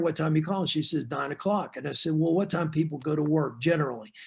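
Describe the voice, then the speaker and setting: A normal speaking voice with an American accent moves at a fairly quick pace with fairly even intonation. The background is quiet. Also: man. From Florida. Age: 60s. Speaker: real estate sales coach. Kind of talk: training webinar.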